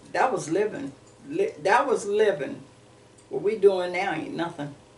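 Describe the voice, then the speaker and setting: A woman with an American accent speaks at a fairly slow pace, with audible room echo and noticeable background noise. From Warren, Ohio, US Midwest. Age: 70s. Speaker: oral history interviewee. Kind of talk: oral history interview. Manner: animated.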